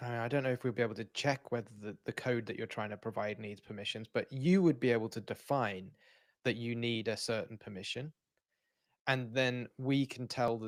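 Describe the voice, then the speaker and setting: A man with a British accent talks at a fairly quick pace and a medium pitch, with ordinary pitch variation. The sound is dry and close with no echo, in a very clean recording with a silent background. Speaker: software developer, livestream co-host. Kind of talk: casual technical livestream chat. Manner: halting, many false starts.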